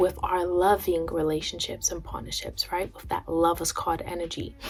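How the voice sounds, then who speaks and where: A soft-spoken woman at a moderate pace. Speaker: astrology and tarot content creator. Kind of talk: spiritual astrology talk to camera. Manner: soft-spoken, quiet; pauses.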